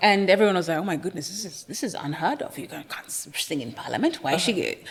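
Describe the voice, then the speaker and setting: Over noticeable background noise, a woman talks very fast at a medium pitch, her intonation lively and her loudness swinging widely. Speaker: senator and music artist. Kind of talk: interview answer.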